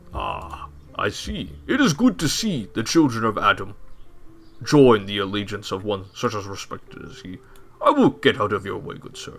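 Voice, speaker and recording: A man uses a put-on character voice. He speaks at a moderate pace. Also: medium pitch for a man. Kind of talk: formal, archaic. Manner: courteous, dominant.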